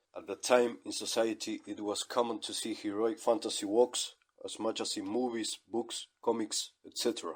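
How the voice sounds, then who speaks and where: At a moderate pace and with hardly any pauses, a man speaks with a non-native accent. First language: not English. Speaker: online radio host. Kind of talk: scripted monologue.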